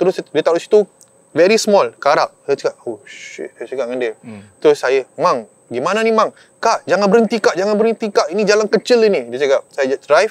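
The man's high voice, moving at a moderate pace with very wide pitch swings, has a dry sound with no echo. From Malaysia, Melaka; Malaysia. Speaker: surfer; guest. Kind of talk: storytelling. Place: open country.

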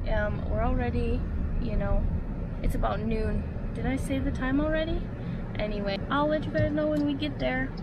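A woman's voice comes across dry with no echo amid loud background noise. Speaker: vlogger. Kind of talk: casual vlog chat. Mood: cheerful, relaxed. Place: car. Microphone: phone near.

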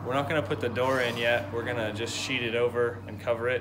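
Noticeable background noise sits behind this recording. A man speaks at a moderate pace. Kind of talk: casual vlog explanation. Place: farm machine. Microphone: phone near.

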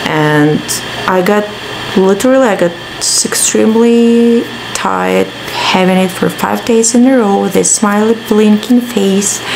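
A woman at a fairly slow pace, ordinary in pitch variation, with noticeable background noise. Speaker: vlogger. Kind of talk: casual vlog chat. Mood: mildly exasperated, chatty. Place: home room. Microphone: phone near.

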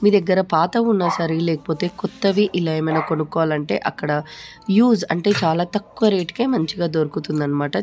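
A woman's voice sits fairly low, its pitch moving in an ordinary way. Behind her, music plays. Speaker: family vlogger. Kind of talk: casual talk to camera. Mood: fond, remembering late grandfather. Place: home room. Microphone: phone near.

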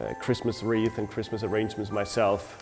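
Clear music plays behind a man speaking at a fairly low pitch. His intonation is monotone and flat. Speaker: florist instructor. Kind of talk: tutorial. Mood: warm, nostalgic. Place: studio. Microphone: lapel.

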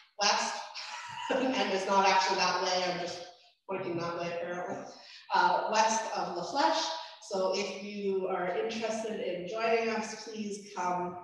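A woman talks at a fairly slow pace with ordinary pitch variation, in strong room echo. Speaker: minister. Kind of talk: church announcements. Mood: warm, cheerful. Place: church.

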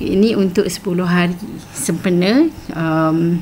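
The speech is very slow with fairly even intonation, and noticeable background noise runs beneath it. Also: woman. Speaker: teacher. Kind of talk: tutorial. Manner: hesitant with fillers.

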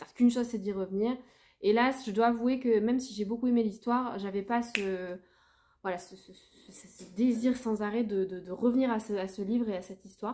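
Over light background noise, a woman speaks at a moderate pace with fairly even intonation and long, frequent pauses. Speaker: book vlogger. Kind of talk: casual vlog chat. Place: home room. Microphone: phone near.

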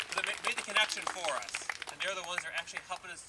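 A man is speaking. Loud background noise runs throughout. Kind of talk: public address speech. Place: garden. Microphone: pa.

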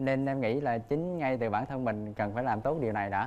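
A man at a very fast pace. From Vietnam, Binh Thuan province (Duc Linh); Vietnam. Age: 20s. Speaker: dating show contestant, IT worker. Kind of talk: dating show conversation. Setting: TV studio stage. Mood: cheerful, a bit shy. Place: studio. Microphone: lapel.

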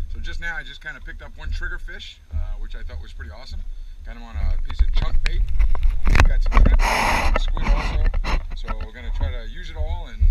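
The pace is fairly quick. The sound is dry with no echo, and background noise is loud. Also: man. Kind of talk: casual vlog chat. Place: boat. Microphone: camera far.

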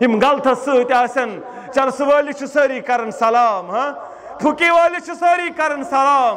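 Over light background noise, a man speaks at an extremely high pitch with ordinary pitch variation. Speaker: Islamic preacher. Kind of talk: sermon. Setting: stage with audience. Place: tent. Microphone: podium.

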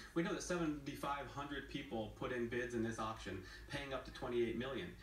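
Noticeable background noise around a male voice with normal pitch movement. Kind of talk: interview.

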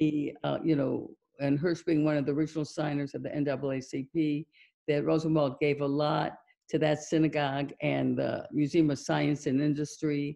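In an American accent, a woman speaks with a very deep, low pitch and a dark, mellow tone, her intonation monotone and flat against a quiet background. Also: moderate pace. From US Midwest. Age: 70s. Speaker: documentary filmmaker. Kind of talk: Q&A discussion. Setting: video call. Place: home room. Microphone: video call.

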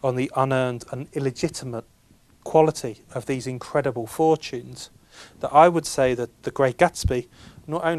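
An unforced reading voice is heard here.

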